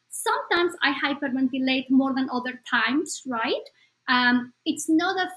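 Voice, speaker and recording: At a moderate pace, a woman with a Spanish accent speaks in a high pitch. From Bolivia. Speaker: psychologist. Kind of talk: podcast interview.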